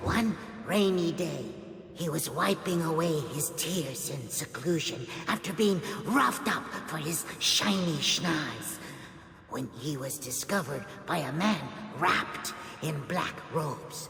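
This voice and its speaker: Put-on character voice at a middle pitch and fairly slow pace, with slight echo and clear background noise. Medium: video game. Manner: excitable, exclamatory.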